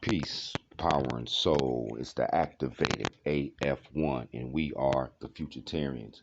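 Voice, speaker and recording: Speaking fairly slowly, a man uses a very deep, low pitch and fairly even intonation. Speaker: video blogger. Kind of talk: casual monologue.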